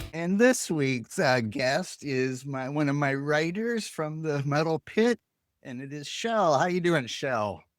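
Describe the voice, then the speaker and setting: Speaking at a very slow pace, a man uses a fairly high pitch and lively intonation. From Canada. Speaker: podcast host. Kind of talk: casual chat. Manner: halting.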